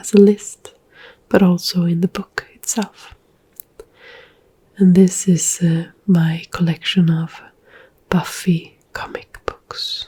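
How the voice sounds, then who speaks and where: The speaker is soft-spoken and very slow. Long pauses come often. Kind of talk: ASMR book chat and screen tour, soft spoken. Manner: soft-spoken, ASMR.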